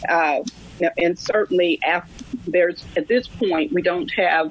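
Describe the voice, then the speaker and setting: Noticeable background noise runs under a woman whose pitch varies in an ordinary way. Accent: Southern US. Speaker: lawyer, nonprofit head. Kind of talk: radio interview. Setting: remote connection.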